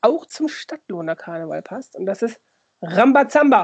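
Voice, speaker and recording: A woman's normal speaking voice, lively intonation, moderate pace. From Lower Saxony, near Osnabrück. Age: 40s. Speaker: podcast co-host, youth worker. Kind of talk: casual chat.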